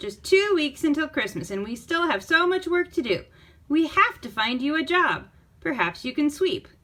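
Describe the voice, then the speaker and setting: A woman performs in a put-on character voice with a high pitch. She keeps a moderate pace. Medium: read story. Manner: brisk, worried.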